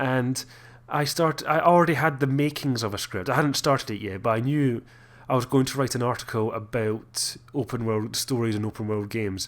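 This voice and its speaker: In a very clean recording with a silent background, a man with a Scottish accent speaks at a moderate pace, his medium pitch showing ordinary variation. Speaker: gaming YouTuber. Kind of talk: video commentary. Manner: halting.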